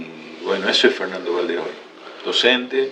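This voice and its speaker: A man is speaking amid noticeable background noise. The room's echo is audible. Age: 60s. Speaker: lawyer and law lecturer. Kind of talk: interview. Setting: video podcast. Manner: hesitant, many fillers.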